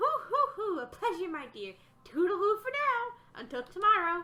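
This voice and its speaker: A woman uses a put-on character voice at an extremely high pitch with very wide pitch swings. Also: moderate pace. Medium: game stream. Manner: hooting, doting.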